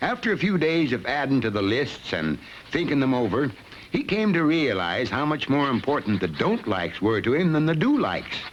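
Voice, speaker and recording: Over noticeable background noise, a man with a fairly high pitch talks at a fairly quick pace, his pitch swinging very widely while his loudness stays very even. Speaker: voice actor. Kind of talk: educational film narration.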